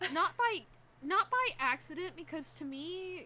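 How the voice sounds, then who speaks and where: Noticeable background noise is present throughout. Over it, a woman talks very slowly. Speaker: streamer. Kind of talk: casual chat. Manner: stammers often.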